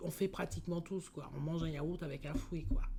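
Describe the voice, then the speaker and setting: The voice has a dark, mellow tone and sounds somewhat breathy. Its intonation stays fairly even. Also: woman. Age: 60s. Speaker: diabetes patient giving testimony. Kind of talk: interview testimony. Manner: hesitant, many fillers.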